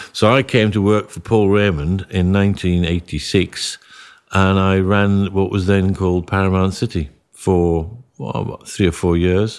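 The pace is moderate and the intonation fairly even. The recording is very clean, with a silent background. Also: man, very deep, low pitch for a man. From northern England, Whitehaven in Cumbria. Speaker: property company chief executive. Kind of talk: podcast interview. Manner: halting, many repetitions.

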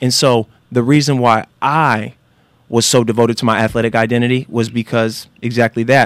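A man with an American accent at a medium pitch, monotone and flat in intonation, moderate in pace with very even loudness, in a very clean, dry, close recording with a silent background and no echo. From Northern California. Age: 30s. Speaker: former football player and motivational speaker. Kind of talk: casual interview.

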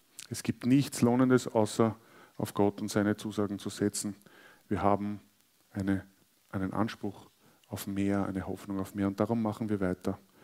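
On a very clean recording with a silent background, a man speaks at a moderate pace in a fairly low, monotone voice with flat intonation and long, frequent pauses. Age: 40s. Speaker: pastor. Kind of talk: sermon.

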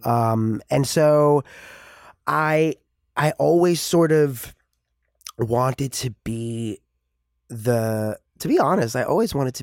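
A man with an American accent talks very slowly with lively intonation, in a dry, close sound with no echo. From New York City, the Bronx. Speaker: actor. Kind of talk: casual chat. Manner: animated.

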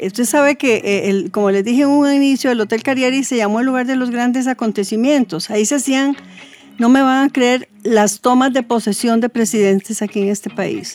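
Here a woman speaks at a moderate pace. Her pitch is high. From Costa Rica. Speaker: retired hotel sales manager. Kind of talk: casual chat.

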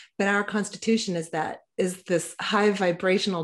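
With an ordinary speaking voice at medium pitch, a woman speaks at a moderate pace against a quiet background. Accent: American. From Texas. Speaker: podcaster and libertarian activist. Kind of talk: casual interview.

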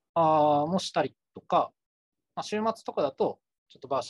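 A man's fairly high voice, fairly quick and with very wide pitch swings, in a dry, close sound with no echo. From Kumamoto, Japan. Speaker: consultant. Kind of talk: casual chat.

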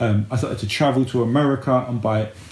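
A man talks at a fairly quick pace and a medium pitch. His intonation is fairly even and his voice somewhat breathy. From East London, England. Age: 40s. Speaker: men's life coach. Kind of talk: casual chat.

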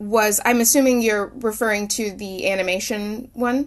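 This woman's voice is fairly high and has ordinary pitch variation. She speaks at a fairly slow pace. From Oklahoma, US. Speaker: singer-songwriter. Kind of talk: interview. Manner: halting, many fillers.

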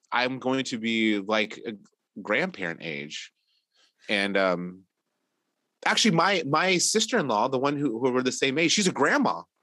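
Against a quiet background, a man speaks fairly slowly with long, frequent pauses, his bright, sharp voice showing vocal fry and very wide pitch swings. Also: medium pitch for a man. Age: 40s. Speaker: artist and illustrator, parent. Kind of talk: casual chat.

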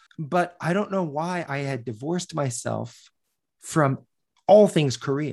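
A man with an American accent uses a plain, everyday voice, speaking at a fairly slow pace with a fairly high pitch and ordinary pitch variation. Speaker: professor. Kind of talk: casual chat.

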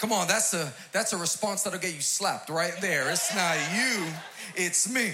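A man projects a raised, animated, high-pitched voice with ordinary pitch variation. Room echo is audible, and background noise is noticeable. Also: moderate pace. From New York City, Queens. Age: 40s. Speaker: pastor. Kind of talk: sermon. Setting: church stage with audience.

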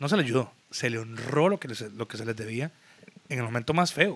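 A man speaks in an ordinary speaking voice at a medium pitch. His pace is fairly quick and his intonation lively. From Costa Rica, San José (Zapote area). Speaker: music promoter and businessman. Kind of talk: casual chat.

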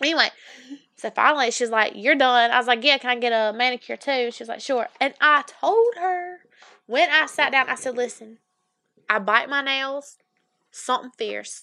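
A woman with a Southern US accent speaks in a raised, projected voice. Her pitch is high and her tone bright and sharp. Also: ordinary pitch variation, moderate pace. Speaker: podcast co-host. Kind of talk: casual chat. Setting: studio.

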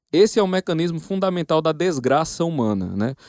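Against a quiet background, a man with an ordinary speaking voice talks at a fairly high pitch and a moderate pace with lively intonation, the sound dry and close with no echo. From Northeast Brazil, Paraíba. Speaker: professor. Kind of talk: casual chat.

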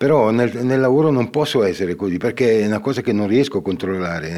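Here a man speaks in a dark, mellow tone. His pitch varies in an ordinary way. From Ticino, Switzerland. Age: 60s. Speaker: painter. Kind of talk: casual interview. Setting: stage with audience. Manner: halting.

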